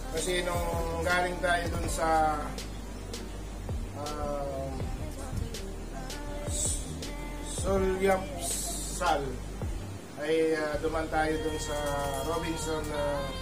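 With clear music in the background, a man speaks at a very slow pace, leaving long, frequent pauses. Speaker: home vlogger. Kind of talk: casual vlog chat. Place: home room. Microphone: camera far.

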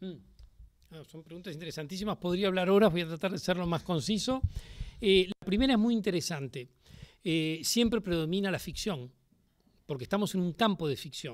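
Loudness swings widely at a fairly quick pace. The background stays quiet. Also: man, high pitch for a man, ordinary pitch variation. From Uruguay, Montevideo; Uruguay. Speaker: playwright and theatre director. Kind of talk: public interview before a university audience. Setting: lecture hall with audience. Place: classroom. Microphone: podium.

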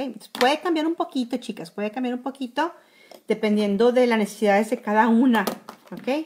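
Lively intonation carries speech that runs at a fairly quick pace. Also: woman. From Mexico, Monterrey; Nuevo León, Mexico. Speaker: makeup blogger. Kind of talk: makeup tutorial livestream. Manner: casual, with many fillers. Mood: warm, enthusiastic. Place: home room. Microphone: phone near.

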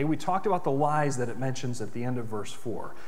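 A man speaks with an American accent. His pitch is fairly high. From US, western New York. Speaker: pastor. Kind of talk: sermon. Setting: church. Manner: animated, earnest preaching; conversational, explanatory. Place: church.

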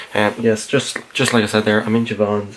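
The speaker talks at a moderate pace in a monotone, flat intonation. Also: man. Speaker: vlogger. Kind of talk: casual vlog chat. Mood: relaxed, a bit giggly. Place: home room. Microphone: phone near.

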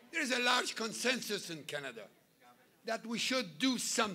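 A man speaks in a raised, projected voice over light background noise. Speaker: speaker. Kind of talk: political rally speech. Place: hall. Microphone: podium.

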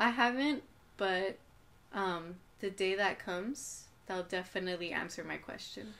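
A woman with an American accent speaks fairly slowly in a medium-pitched, bright, sharp voice, using ordinary pitch variation and long, frequent pauses. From Coachella Valley, California; California. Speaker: artist and fashion designer; podcast guest. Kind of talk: casual chat. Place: home room. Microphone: camera far.

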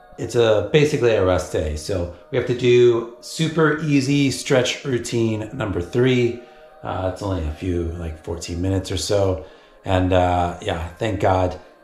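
Fairly slow, fairly low-pitched male speech with audible room echo and light background noise. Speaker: cyclist vlogger. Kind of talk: casual vlog chat. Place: home room. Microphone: phone near.

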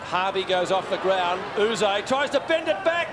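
Noticeable background noise sits behind a man's voice. His pitch is high and his tone animated. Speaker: play-by-play commentator. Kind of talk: live sports commentary, AFL match call. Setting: stadium commentary box, live broadcast. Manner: rapid-fire, animated, keeps pace with the play, builds to a crescendo at the final siren.

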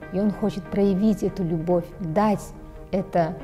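Faint music plays in the background. A woman speaks at a fairly slow pace with fairly even intonation. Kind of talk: interview answer. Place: studio. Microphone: lapel.

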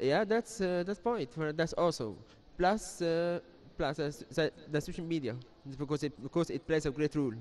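Lively intonation and a fairly high pitch mark this man's voice. He speaks at a moderate pace over light background noise. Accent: Arabic. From Egypt. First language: Arabic. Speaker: student initiative member. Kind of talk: TV interview. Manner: halting. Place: studio. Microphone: handheld.

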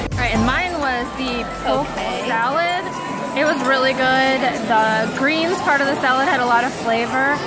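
A woman talks at a moderate pace with ordinary pitch variation. Loud music plays in the background. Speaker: travel vlogger. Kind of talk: casual food review. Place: cafe. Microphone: phone near.

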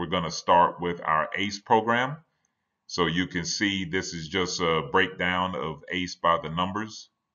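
The background is quiet as a man talks at a fairly slow pace. His pitch is very deep and low, with ordinary variation. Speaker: conference presenter. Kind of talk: lecture. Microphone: webcam.

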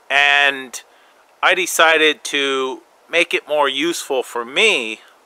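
A man speaks with ordinary pitch variation in a dry recording with no echo. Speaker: bushcraft vlogger. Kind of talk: casual vlog chat. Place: forest.

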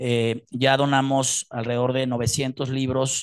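Over a quiet background, a man talks at a medium pitch. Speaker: book project sponsor. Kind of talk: speech. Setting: stage with audience. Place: hall.

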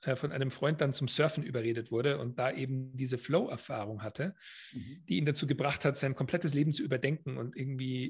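Against a quiet background, a man talks at a very fast pace, his voice somewhat breathy with ordinary pitch variation. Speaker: podcast guest. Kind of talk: interview answer. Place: home room. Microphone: studio mic.

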